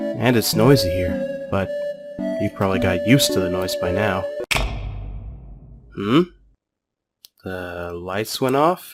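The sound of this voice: A man's cartoonish character voice, low-pitched, slow, with lively intonation, long and frequent pauses, and faint background music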